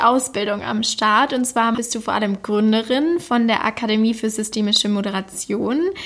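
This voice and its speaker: At a moderate pace and with hardly any pauses, a woman uses a normal speaking voice at a fairly high pitch with ordinary pitch variation. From Swabia, Germany (Backnang near Stuttgart). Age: 20s. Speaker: podcast host. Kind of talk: interview.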